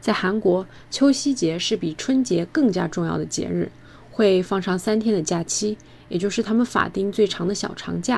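Speaking in a normal speaking voice, she keeps a medium pitch for a woman, a moderate pace and ordinary pitch variation. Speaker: student abroad. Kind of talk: scripted narration.

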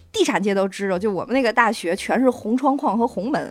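The delivery is fairly quick, with lively intonation. It is an unremarkable speaking voice. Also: woman. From Tianjin. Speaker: stand-in podcast host. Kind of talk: casual chat.

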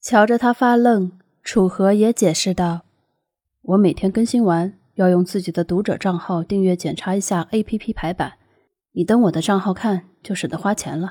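The voice has a dark, mellow tone, ordinary pitch variation, big swings in loudness and a moderate pace, captured with a dry, close sound with no echo on a very clean recording with a silent background. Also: woman, medium pitch for a woman. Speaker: audiobook narrator. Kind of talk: audiobook narration.

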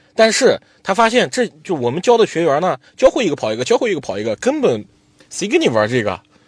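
A man's high-pitched voice at a very fast pace, with very wide pitch swings and a dry, close sound with no echo. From Xinjiang, Altay. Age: 20s. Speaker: jade trader and livestream seller. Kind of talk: interview storytelling.

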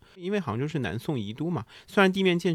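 Very wide pitch swings mark this man's very fast delivery, captured on a very clean recording with a silent background. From northern China, Shanxi. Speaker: coffee consultant and brewing competitor. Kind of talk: casual chat.

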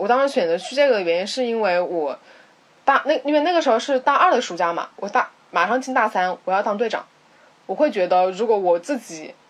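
Over noticeable background noise, a woman with a fairly high pitch talks at a fairly quick pace, her pitch swinging very widely. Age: 20s. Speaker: podcast co-host. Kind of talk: casual chat.

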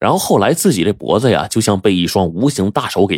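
Someone does plain reading aloud. The pitch moves in a lively way.

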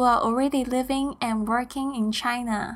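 With a Mandarin accent, a woman talks at a moderate pace in a high pitch with fairly even intonation, on a very clean recording with a silent background. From Taiwan. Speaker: podcast host. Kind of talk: scripted monologue.

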